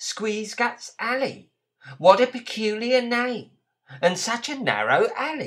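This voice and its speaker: In a squeaky, put-on character voice with a fairly high pitch, the speaker goes at a fairly slow pace. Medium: read story.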